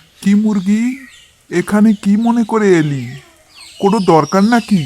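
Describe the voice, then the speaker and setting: Someone performs a cartoonish character voice at a moderate pace. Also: man, high pitch for a man. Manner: commanding, authoritative.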